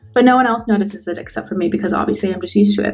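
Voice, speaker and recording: Female speech, ordinary in pitch variation, with noticeable noise behind it. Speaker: beauty vlogger. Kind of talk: tutorial. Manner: casual, filler-heavy.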